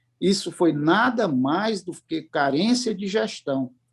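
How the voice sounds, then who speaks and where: Over a quiet background, a man with a high pitch talks with lively intonation. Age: 60s. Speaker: business management consultant. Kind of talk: panel discussion. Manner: halting, with many repeated words.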